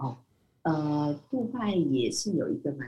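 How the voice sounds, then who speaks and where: A woman speaks with a very deep, low pitch and a dark, mellow tone. Her intonation is lively. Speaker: business development manager. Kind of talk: interview. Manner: halting.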